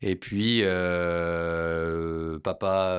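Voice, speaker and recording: Very deep, low male voice, monotone and flat, on a very clean recording with a silent background. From southwest France, Lot-et-Garonne. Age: 40s. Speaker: entrepreneur, property dealer. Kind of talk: casual interview. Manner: hesitant, many fillers and repetitions.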